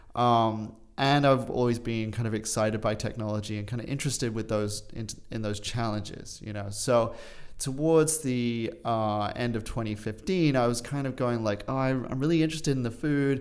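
A man speaks at a moderate pace and medium pitch with ordinary pitch variation. Room echo is audible. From England and Australia, British parents. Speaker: urban farm founder. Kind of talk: interview. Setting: studio.

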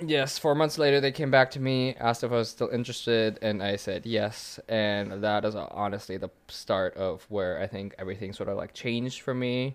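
Here a man speaks in a normal speaking voice with an American accent. His pitch is medium, with ordinary pitch variation. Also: fairly quick pace. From Germany until age ten, then US. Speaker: film producer. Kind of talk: casual interview.

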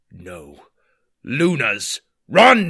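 A man puts on a raspy character voice. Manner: panicked shouting.

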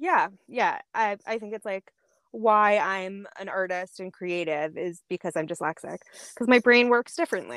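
A woman with a slight Boston accent speaks at a moderate pace in a medium pitch, her intonation lively and her loudness swinging widely, on a very clean recording with a silent background and a dry, close sound with no echo. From Boston area (Needham). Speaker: artist. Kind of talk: casual chat.

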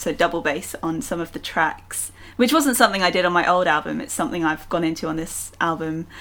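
A woman speaks in a London accent at a fairly low pitch. Her pace is fairly quick, with ordinary pitch variation. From London, England. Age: 20s. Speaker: singer-songwriter. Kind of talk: casual interview. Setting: remote call from home.

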